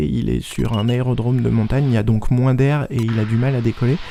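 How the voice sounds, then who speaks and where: Fairly quick speech from a man, dark and mellow in tone. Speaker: private pilot. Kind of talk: voice-over narration. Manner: slightly stiff, charming.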